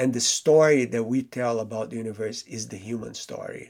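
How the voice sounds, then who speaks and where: A man with a Portuguese accent talks at a moderate pace in a very clean recording with a silent background. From Brazil. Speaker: theoretical physicist. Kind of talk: interview.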